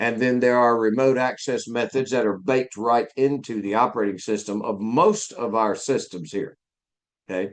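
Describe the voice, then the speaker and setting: A man with a Southern US accent speaks at a moderate pace and medium pitch. His intonation is fairly even, and the background is quiet. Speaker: IT instructor. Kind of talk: live lecture. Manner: casual, with hesitations.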